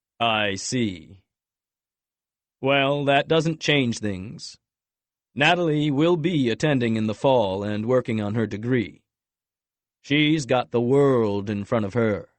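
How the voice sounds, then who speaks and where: A man puts on a booming, resonant character voice at medium pitch. He goes at a fairly slow pace with long, frequent pauses. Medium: read story. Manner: cold, polite, condescending.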